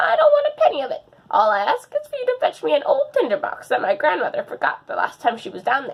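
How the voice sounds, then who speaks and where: A woman rattles along at a very fast pace in a put-on character voice. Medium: read story. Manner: wheedling.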